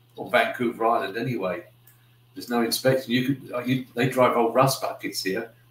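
A man with a British accent speaks at a moderate pace, with audible room echo. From UK. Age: 60s. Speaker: YouTuber. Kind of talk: casual livestream chat. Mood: friendly, relaxed. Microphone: webcam.

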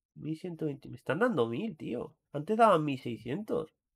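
At a fairly slow pace, a man with fairly high pitch makes very wide pitch swings. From Catalonia, Spain (Barcelona area). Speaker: gaming streamer. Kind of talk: live gameplay stream, casual chat with viewers. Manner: animated, exclamatory.

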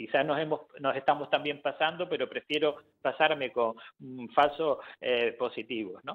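In a normal speaking voice, a man with a fairly high pitch talks at a moderate speed, his pitch varying in an ordinary way. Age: 60s. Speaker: family doctor. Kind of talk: radio interview.

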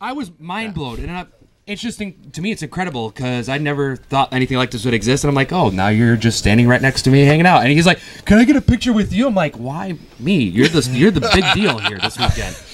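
Very fast and fairly high-pitched, a man speaks with very wide pitch swings. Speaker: podcast host. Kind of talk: casual storytelling to live audience. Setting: live recording at a gaming convention. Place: hall. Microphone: handheld.

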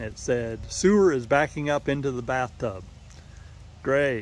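A man's voice, dry with no echo. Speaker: homeowner vlogger. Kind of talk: casual vlog chat. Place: garden. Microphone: phone near.

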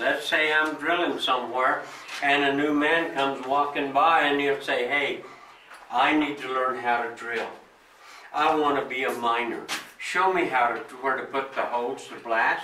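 A man speaks at a moderate pace with fairly even intonation. Light background noise and audible room echo are present. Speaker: mine tour guide. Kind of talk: tour guide explanation. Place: tunnel cave. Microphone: camera far.

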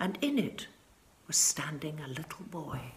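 Amid audible room echo, a woman speaks at a fairly slow pace with big pitch swings and a slightly mellow tone.

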